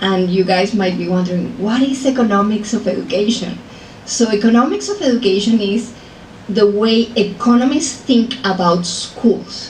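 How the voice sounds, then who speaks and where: With a Colombian accent, a woman speaks at a moderate pace amid noticeable background noise and audible room echo. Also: fairly high pitch for a woman, ordinary pitch variation. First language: Spanish. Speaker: professor. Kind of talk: lecture.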